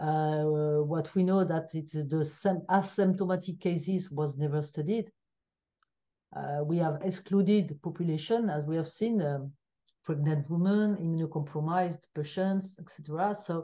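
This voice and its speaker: With a dark, mellow tone and a fairly low pitch, a woman speaks at a moderate pace with fairly even intonation. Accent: French. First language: French. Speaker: biostatistician. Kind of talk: interview. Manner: halting.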